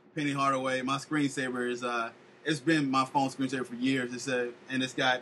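A man's medium-pitched voice in an American accent, fairly quick and monotone and flat, over noticeable background noise. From Florida, Polk County. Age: 30s. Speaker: podcast host. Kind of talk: casual chat.

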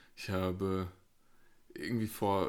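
Speaking at a fairly slow pace, a man carries a slight Rhineland accent. The recording is very clean, with a silent background. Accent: slight Eifel dialect. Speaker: podcast co-host, medical professional. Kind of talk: casual chat.

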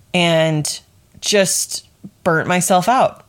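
A woman talks with fairly even intonation. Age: 30s. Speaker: podcast host, leadership coach. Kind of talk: solo podcast monologue. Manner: casual, conversational.

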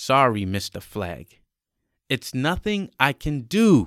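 A put-on character voice moves slowly, its pitch swinging widely with a fairly bright tone. The recording is very clean and dry, close-miked with no echo and a silent background. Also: man, medium pitch for a man.

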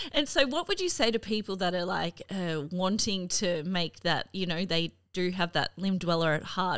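A woman speaks with an Australian accent. Her pitch sits fairly low. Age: 30s. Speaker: podcast host. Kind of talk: casual interview. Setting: video call.

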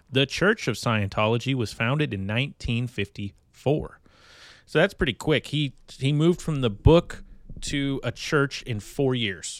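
A plain, everyday voice, a man with an American accent talks at a fairly slow pace and medium pitch with lively intonation, in a dry, close sound with no echo on a very clean recording with a silent background. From California. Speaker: podcast host. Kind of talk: reading aloud; casual chat.

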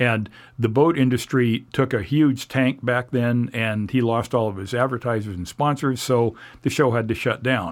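Recorded very cleanly against a silent background, a man with a West Coast US accent speaks at a moderate pace and medium pitch with ordinary pitch variation. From Oregon (Portland area). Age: 60s. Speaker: TV show host and associate producer. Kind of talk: interview conversation. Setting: studio.

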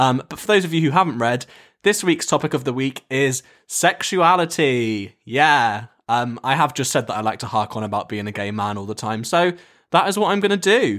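Recorded very cleanly against a silent background, a man speaks at a moderate pace. His pitch sits at a medium level for a man but swings very widely. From England, Herefordshire. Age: 20s. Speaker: podcaster. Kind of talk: solo casual monologue. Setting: at home in his room. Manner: hesitant, many fillers.

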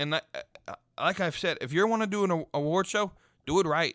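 On a very clean recording with a silent background and a dry, close sound with no echo, a man speaks at a moderate pace in a bright, sharp tone with ordinary pitch variation. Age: 20s. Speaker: wrestling podcast host. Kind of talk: casual solo commentary. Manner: rambling with filler words and repetitions.

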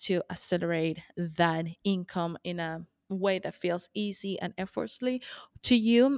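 A woman speaks with a Spanish accent. The recording is very clean with a silent background and a dry, close sound with no echo. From Colombia. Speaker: money mindset coach. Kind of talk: interview podcast.

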